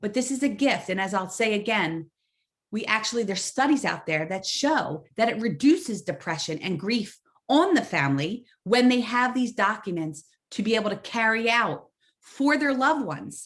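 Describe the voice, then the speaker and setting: This woman's voice sits fairly high and is somewhat breathy. Her pitch swings very widely. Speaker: social worker and health educator. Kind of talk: webinar lecture.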